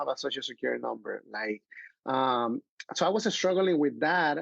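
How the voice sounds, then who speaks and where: A man with a Mexican accent at a fairly quick pace, dry and close with no echo. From Mexico, Acapulco. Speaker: filmmaker and actor. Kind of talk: podcast interview.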